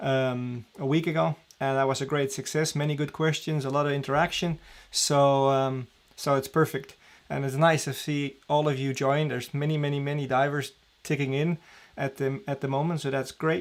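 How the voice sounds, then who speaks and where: On a very clean recording with a silent background, a man with a Dutch accent and a fairly high pitch speaks at a moderate pace. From Netherlands, Amsterdam. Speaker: diving training director. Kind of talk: live stream Q&A. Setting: live stream at home. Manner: casual, with many fillers.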